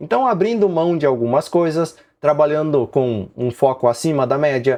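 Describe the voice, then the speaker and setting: An unremarkable speaking voice from a man, fairly high in pitch, at a moderate pace with lively intonation against a quiet background. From southern Brazil, Rio Grande do Sul. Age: 40s. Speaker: woodworking YouTuber. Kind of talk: live stream Q&A chat. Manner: casual, conversational.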